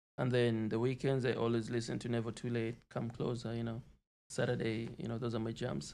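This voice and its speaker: A man talks at a medium pitch. He has a plain, everyday voice. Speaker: rapper, environmental engineering student. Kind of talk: casual interview chat.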